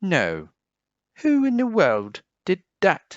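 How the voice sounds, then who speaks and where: Using a put-on character voice, a man talks at a high pitch. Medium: read story.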